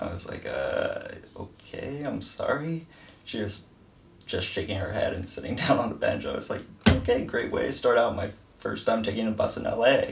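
A man speaks at a moderate pace. Background noise is noticeable throughout. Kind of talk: interview answer. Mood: wry, amused complaining. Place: home room.

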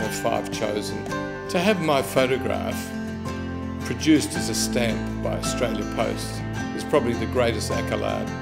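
Loud music fills the background as a man talks at a fairly slow pace. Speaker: photographer. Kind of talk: interview answer. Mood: proud, warm. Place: office.

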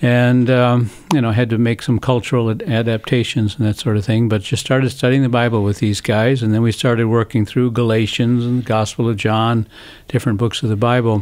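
A man with an American accent, monotone, flat intonation and very even loudness against a quiet background. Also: fairly quick pace. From United States. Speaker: missionary. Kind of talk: interview. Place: studio. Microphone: studio mic.

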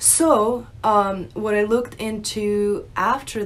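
Faint music plays in the background as a woman talks at a very slow pace. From Russia, moved to US at nine. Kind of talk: personal testimony, unscripted. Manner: hesitant, many fillers. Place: home room. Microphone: phone near.

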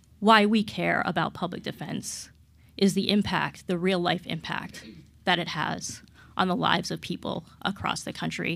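Speaking at a moderate pace, a woman shows vocal fry, a fairly low pitch and ordinary pitch variation.

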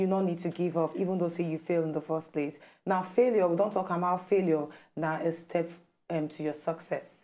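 A woman speaks in a plain, everyday voice at a moderate pace, her fairly low pitch holding a fairly even intonation. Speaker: talk show co-host. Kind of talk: talk show discussion. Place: studio.

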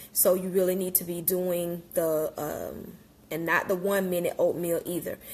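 A woman talks at a moderate pace. Her intonation is monotone and flat, with light background noise. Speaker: wellness coach. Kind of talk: casual live-stream talk. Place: kitchen. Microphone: phone near.

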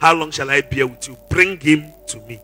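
With faint music in the background, a man speaks at a fairly slow pace. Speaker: preacher. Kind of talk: sermon. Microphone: handheld.

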